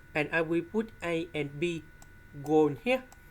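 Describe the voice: The speaker moves at a fairly slow pace with ordinary pitch variation. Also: woman, low pitch for a woman.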